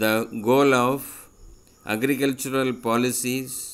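Recorded very cleanly against a silent background, a man with a medium-pitched voice speaks at a very slow pace in a monotone, flat delivery. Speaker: school social science teacher. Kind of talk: lecture. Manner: formal.

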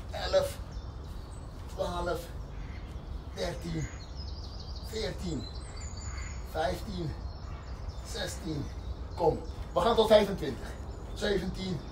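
Against noticeable background noise, a man speaks at a very slow pace with long, frequent pauses. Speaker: fitness instructor. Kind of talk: exercise instruction, counting reps. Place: forest. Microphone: camera far.

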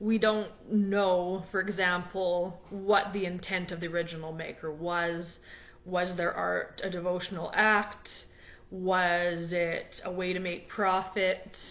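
In a monotone, flat intonation, a woman speaks at a very slow pace. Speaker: blogger. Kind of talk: casual talk on a topic. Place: home room. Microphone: webcam.

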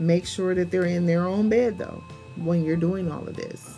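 Over faint background music, a woman with a fairly low pitch talks in a fairly even intonation. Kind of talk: casual advice talk. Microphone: phone near.

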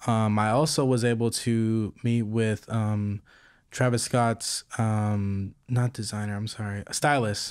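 Against a quiet background, a man with an American accent talks at a very slow pace in a monotone, flat intonation, the sound dry with no echo. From Texas, Fort Worth area; Texas. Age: 20s. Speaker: apparel designer and entrepreneur; podcast guest. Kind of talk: casual interview chat. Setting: recorded in person in Hollywood. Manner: halting, many fillers. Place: home room. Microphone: studio mic.

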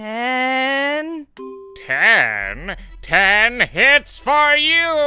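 Over faint background music, a man does a put-on character voice that is raised, projected and extremely high in pitch.

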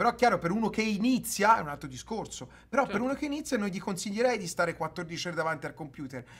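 A man speaks at a very fast pace with a high pitch. His tone is animated and his intonation lively. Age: 30s. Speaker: streamer. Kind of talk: heated debate. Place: home room.

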